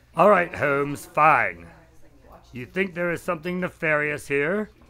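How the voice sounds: A man's put-on character voice, fairly high in pitch, with a bright, sharp tone, lively intonation and a fairly slow pace.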